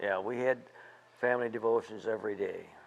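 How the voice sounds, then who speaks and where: A man is speaking here at a moderate pace. His pitch sits in the medium range. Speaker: war veteran and retired teacher. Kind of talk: interview answer.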